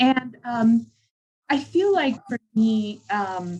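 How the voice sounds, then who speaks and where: A woman speaks at a fairly high pitch, sounding somewhat breathy. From southern California. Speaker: social work scholar. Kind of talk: panel discussion. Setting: video call.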